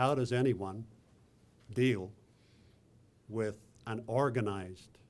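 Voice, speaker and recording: A man speaks with an Irish accent. His intonation stays fairly even. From Ireland, northwest. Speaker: president of a foreign affairs council, event host. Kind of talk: opening remarks at a panel event.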